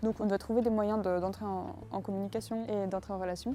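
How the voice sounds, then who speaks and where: A fairly quick, medium-pitched woman's voice with ordinary variation in pitch. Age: 20s. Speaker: student. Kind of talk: testimony. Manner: hesitant, many filler words.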